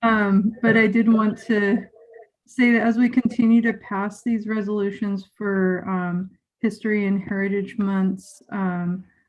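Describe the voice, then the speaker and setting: A woman talks at a medium pitch and a fairly slow pace. Her voice is somewhat breathy, with monotone, flat intonation. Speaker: school board member. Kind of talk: public meeting remarks.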